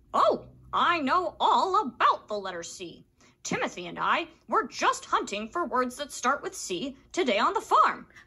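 Someone at a moderate pace uses a put-on character voice pitched high.

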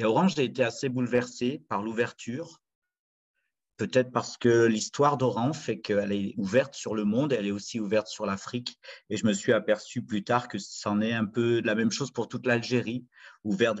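The background stays quiet. A man speaks at a moderate pace. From France, Saint-Étienne (Loire); France. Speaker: storyteller. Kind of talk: storytelling performance. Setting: video call. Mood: warm, reflective storytelling. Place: home room. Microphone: webcam.

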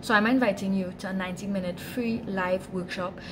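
A woman at medium pitch and moderate pace, with fairly even intonation over clear background noise.

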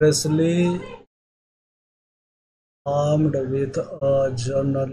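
Light background noise sits behind a man whose dark, mellow tone carries fairly even intonation. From India. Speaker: gamer and VO artist. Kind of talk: casual gaming commentary. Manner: casual, chatty. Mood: joking, mildly tense. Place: home room. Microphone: headset.

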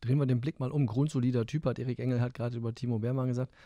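A man's dark, mellow, medium-pitched voice races at a very fast pace in a flat monotone, with a dry sound and no echo. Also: quiet background. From northern Germany. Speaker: sports podcast host. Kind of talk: casual chat. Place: studio. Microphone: studio mic.

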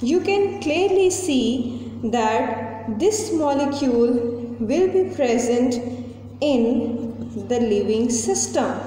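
A woman with a high pitch speaks at a very slow pace, with audible room echo around her. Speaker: teacher. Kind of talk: tutorial. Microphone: phone near.

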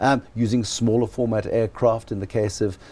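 The man's tone is dark and mellow, his pitch fairly low. He talks at a moderate pace with fairly even intonation.

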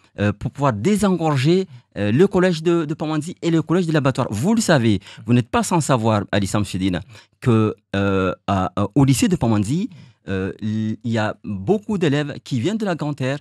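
With long, frequent pauses, a man speaks in a fairly high pitch and very wide pitch swings. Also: moderate pace, quiet background, dry sound with no echo. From Mayotte. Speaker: mayoral candidate; election candidate. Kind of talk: interview. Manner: halting. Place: studio. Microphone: studio mic.

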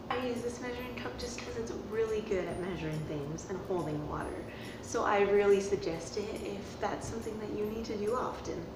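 A woman talks at a fairly quick pace with few pauses, at medium pitch. Background noise is clearly audible. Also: ordinary pitch variation.

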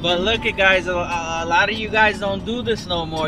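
Over noticeable background noise, a man speaks at a fairly slow pace with ordinary pitch variation, and the sound is dry with no echo. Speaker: car enthusiast vlogger. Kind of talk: casual vlog chat. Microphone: phone near.

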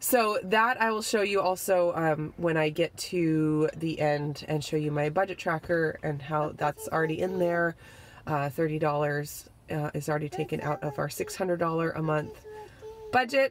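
Light background noise sits behind a woman whose pitch is very deep and low. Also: ordinary pitch variation, moderate pace. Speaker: family vlogger. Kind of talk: casual vlog chat. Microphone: phone near.

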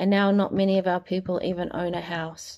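A woman at a moderate pace, her intonation monotone and flat. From New Zealand. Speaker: spoken word poet. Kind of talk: spoken word poetry reading. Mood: earnest, serious. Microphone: phone near.

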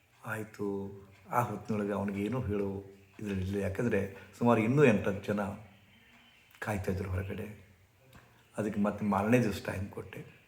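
A man with a fairly low pitch speaks in a flat monotone, with audible room echo. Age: 70s. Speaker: spiritual teacher. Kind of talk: storytelling talk.

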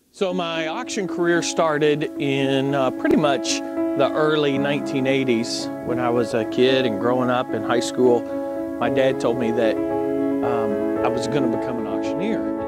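A man speaks at a moderate pace, the sound dry with no echo and loud music playing behind him. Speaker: auctioneer and real estate broker. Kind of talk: interview answer. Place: office. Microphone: lapel.

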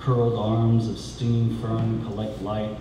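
Amid noticeable background noise and audible room echo, a man with a fairly low voice speaks at a very slow pace. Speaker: poet. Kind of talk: poetry reading. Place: cafe. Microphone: camera far.

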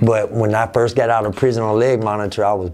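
Here is an unremarkable speaking voice: a man with an American accent and a fairly low pitch. He moves at a fairly quick pace with fairly even intonation. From Albany, Georgia, US South; Georgia. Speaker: rapper; interviewee. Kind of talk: interview. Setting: office. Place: office.

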